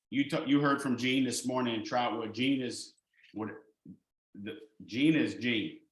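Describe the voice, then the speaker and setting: There is audible echo from the room. Through it, a man talks. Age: 60s. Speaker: education director presenting a curriculum. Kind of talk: webinar presentation. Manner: casual, with many fillers.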